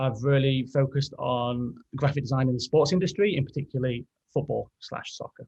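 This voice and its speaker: Speaking in an English accent, a man talks at a fairly quick pace and medium pitch with fairly even intonation. His voice is somewhat breathy, and the sound is dry and close with no echo. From England, Derby (East Midlands). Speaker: graphic designer. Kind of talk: podcast interview.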